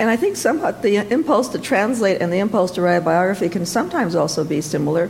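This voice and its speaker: A woman with a medium-pitched voice talks at a very fast pace, her intonation lively and her loudness very even. Noticeable background noise runs under the recording. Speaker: translator and author. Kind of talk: panel discussion. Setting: stage with audience.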